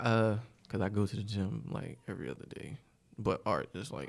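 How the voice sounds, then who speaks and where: This man speaks with an American accent and vocal fry. His pitch is fairly low. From New York (Bronx), then South Carolina from middle school. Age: 30s. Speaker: DJ. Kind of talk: casual chat.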